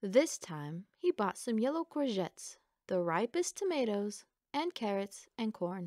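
Behind the voice, things are quiet. The delivery is plain reading aloud.

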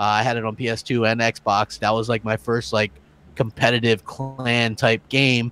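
A man talks at medium pitch and a fairly slow pace. It is an ordinary speaking voice in a dry, close sound with no echo. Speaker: gaming podcast panelist. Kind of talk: casual chat.

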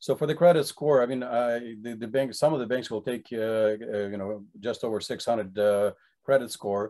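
Against a quiet background, a man's dark, mellow tone moves with ordinary pitch variation. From Ukraine. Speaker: real estate and mortgage agent, channel host. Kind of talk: interview. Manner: halting, many fillers. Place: home room. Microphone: video call.

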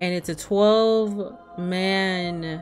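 With music in the background, a woman speaks at a fairly low pitch with lively intonation. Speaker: gamer streamer. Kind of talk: gameplay commentary. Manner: casual, unsure.

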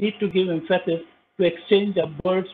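A high-pitched male voice at a moderate pace, fairly even in intonation, over light background noise. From India. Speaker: government wildlife official. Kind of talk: formal presentation. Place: home room. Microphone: video call.

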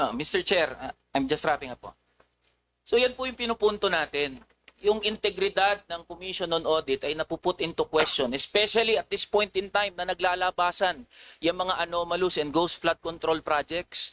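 With a bright, sharp tone and a high pitch, a man speaks at a moderate pace with ordinary pitch variation, the sound dry and close with no echo. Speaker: legislator questioning witnesses. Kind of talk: legislative hearing cross-examination, pointed and formal. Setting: legislative hearing room. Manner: formal, deferential to chair yet accusatory.

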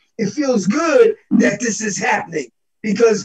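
With an American accent and a high pitch, a man speaks at a fairly slow pace over a quiet background. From Buffalo, New York; New York. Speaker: theatre director and actor; actor. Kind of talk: panel discussion.

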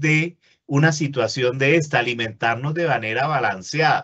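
A man speaks in a fairly high voice with ordinary pitch variation. The background is quiet. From Colombia, Caribbean coast. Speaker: university lecturer. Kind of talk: webinar lecture. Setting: online webinar. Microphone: webcam.

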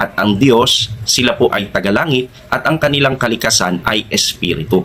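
Noticeable background noise sits behind a man talking at a moderate pace with hardly any pauses. His loudness is very even, and his pitch varies in an ordinary way. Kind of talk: religious teaching, answering a question. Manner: formal.

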